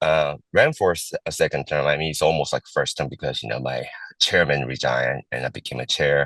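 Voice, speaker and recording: At a fairly quick pace, a man speaks in a dry, close sound with no echo. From immigrant, raised in Los Angeles and Seattle. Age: 40s. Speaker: political candidate. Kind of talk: interview. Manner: halting, many fillers.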